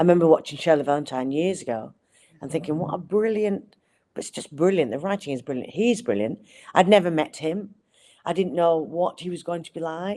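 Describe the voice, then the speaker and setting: In a Lancashire accent, a woman speaks at a fairly quick pace with a fairly low pitch, a dark, mellow tone, lively intonation and big swings in loudness. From Accrington, Lancashire. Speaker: actress. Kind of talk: interview answer.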